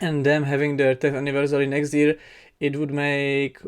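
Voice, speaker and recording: A non-native accent at a moderate pace. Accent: noticeable non-native. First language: not English. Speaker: K-pop reaction youtuber. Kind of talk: casual reaction commentary. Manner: hesitant, many fillers.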